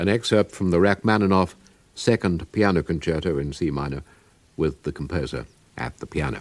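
A fairly quick voice with a British accent carries vocal fry. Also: man, very deep, low pitch for a man, ordinary pitch variation. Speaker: radio presenter. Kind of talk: radio interview questions. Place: studio.

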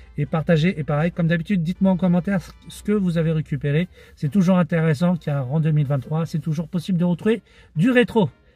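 This man talks at a fairly quick pace in a high pitch with ordinary pitch variation, the sound dry with no echo and faint music playing behind him. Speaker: flea-market vlogger. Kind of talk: casual vlog chat. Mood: relaxed, friendly. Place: car. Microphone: phone near.

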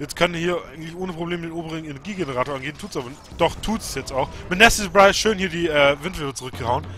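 Noticeable background noise sits behind a man speaking at a very fast pace. His pitch is fairly high, with ordinary variation. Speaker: game commentator. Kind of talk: live game commentary.

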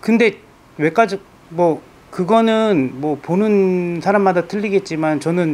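Very slowly, a man talks at a high pitch with ordinary pitch variation. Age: 40s. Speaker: patient, small business owner. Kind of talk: interview testimony. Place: office. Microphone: lapel.

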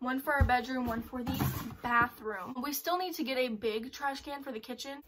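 A woman's high voice, with ordinary pitch variation, is heard against noticeable background noise. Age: young. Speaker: lifestyle vlogger. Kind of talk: casual haul video. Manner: fast; casual.

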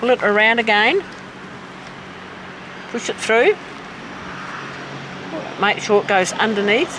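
A woman's fairly high, fairly slow speech with ordinary pitch variation and long, frequent pauses, over noticeable background noise. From south-east South Australia. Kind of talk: weaving tutorial and casual conversation.

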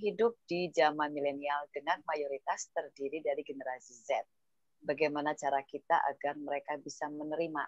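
Against a quiet background, a woman speaks with a very deep, low pitch and ordinary pitch variation in a dry sound with no echo. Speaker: webinar moderator. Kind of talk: moderating a webinar. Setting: video call.

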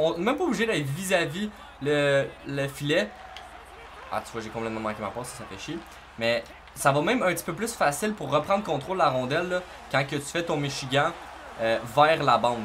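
Over light background noise, a man with a Quebec accent talks fairly quickly with lively intonation, big swings in loudness and long, frequent pauses. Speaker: gaming YouTuber. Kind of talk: gameplay tutorial. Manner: casual, hesitant with fillers. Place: home room.

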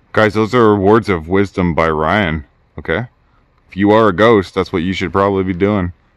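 A man speaks in a very deep, low voice with fairly even intonation. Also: dry sound with no echo. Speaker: ghost hunting vlogger. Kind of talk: casual vlog commentary. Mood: playful, slightly spooked. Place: street. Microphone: phone near.

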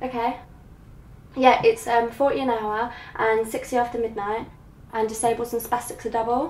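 There is audible room echo as a woman speaks at a moderate pace. Her voice is high-pitched, with monotone, flat intonation. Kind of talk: scripted comedic talking-head monologue.

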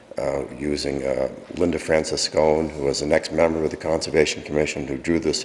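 Noticeable background noise runs under the clip. A man speaks with a very deep, low pitch. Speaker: conservation commission chairman. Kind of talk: public comment at town council meeting. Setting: town council meeting. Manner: halting, many fillers.

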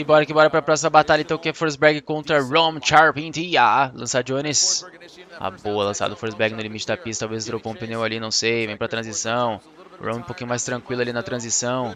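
Over light background noise, a man with a Brazilian accent speaks at a medium pitch with ordinary pitch variation. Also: fairly quick pace, dry sound with no echo. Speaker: YouTuber and motorsport commentator; streamer reacting to drift races. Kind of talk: video commentary over race footage. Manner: animated. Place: home room.

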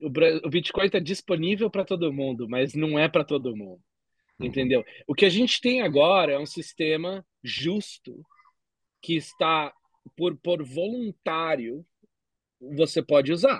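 Speaking at a fairly slow pace with long, frequent pauses, a man uses a fairly high pitch and lively intonation. The background is quiet and the sound is dry with no echo. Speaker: bitcoin entrepreneur; podcast guest. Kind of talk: casual interview. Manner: halting, many fillers. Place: home room. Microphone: video call.

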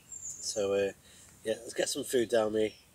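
At a moderate pace, a man talks with a slightly mellow tone.

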